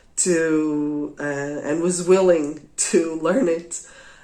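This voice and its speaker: A woman with a Portuguese accent and a very deep, low pitch speaks with fairly even intonation amid audible room echo. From Portugal. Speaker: craft podcaster. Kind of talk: casual monologue. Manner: halting, many fillers.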